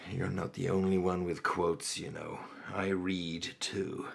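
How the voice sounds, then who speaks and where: A man uses a put-on character voice that is raspy and very deep, low in pitch. He speaks at a fairly slow pace. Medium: audio drama. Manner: measured, wry.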